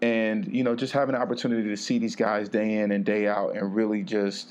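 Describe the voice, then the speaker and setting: An unremarkable speaking voice from a man, medium in pitch, at a moderate pace with fairly even intonation. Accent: American. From California (Vallejo). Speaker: motivational speaker and podcaster. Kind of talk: interview.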